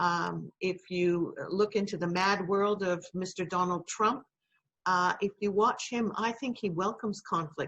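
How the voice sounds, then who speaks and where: This woman's medium-pitched voice varies in an ordinary way and moves at a moderate pace. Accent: North American. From Canada. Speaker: university lecturer. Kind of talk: lecture. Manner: halting, many fillers.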